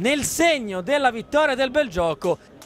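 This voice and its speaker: Speaking at a fairly slow pace, a man uses an extremely high pitch with very wide pitch swings. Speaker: football commentator. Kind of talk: live sports commentary on highlights. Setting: match highlights voiceover.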